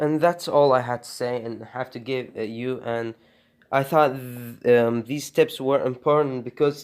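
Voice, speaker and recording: A man's medium-pitched voice with a non-native accent, at a fairly slow pace, in a flat monotone. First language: not English. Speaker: animation tutorial creator. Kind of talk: tutorial. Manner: halting, many fillers.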